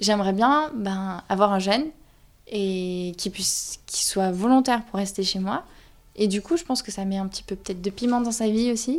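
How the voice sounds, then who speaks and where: Here is an ordinary speaking voice from a woman, pitched in the medium range. Her pace is moderate, and her pitch variation is ordinary. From southern France (Toulouse). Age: 20s. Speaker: young flatmate. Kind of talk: interview testimony.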